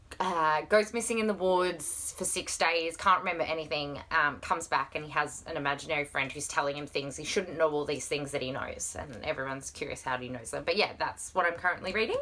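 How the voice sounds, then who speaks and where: In an Australian accent, the speaker talks at a fairly quick pace in an animated tone, with ordinary pitch variation and hardly any pauses. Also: woman, very deep, low pitch for a woman. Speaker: book vlogger. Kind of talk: casual chat. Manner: fast.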